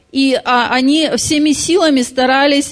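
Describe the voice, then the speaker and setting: Her voice high in pitch, a woman talks at a very slow pace with ordinary pitch variation. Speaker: interpreter. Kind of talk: sermon interpretation. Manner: halting.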